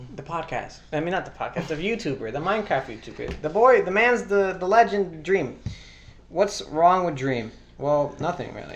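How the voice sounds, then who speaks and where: A man speaks at a high pitch with lively intonation and big swings in loudness. Noticeable background noise runs behind him. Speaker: podcast host. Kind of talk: casual chat. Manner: fast.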